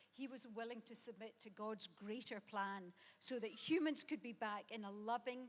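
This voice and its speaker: The speech comes in a Glasgow accent. Its pace is moderate and its pitch varies in an ordinary way. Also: woman. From Scotland, Glasgow. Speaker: guest preacher. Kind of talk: sermon.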